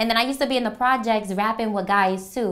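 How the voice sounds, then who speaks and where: A woman speaks very fast with a Bronx accent. Her pitch is fairly high. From New York, the Bronx. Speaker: rapper. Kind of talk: interview monologue. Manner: casual, blunt.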